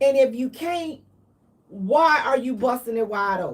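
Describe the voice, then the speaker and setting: A woman speaks in an animated tone with a high pitch. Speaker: radio show host. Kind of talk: live stream talk show monologue.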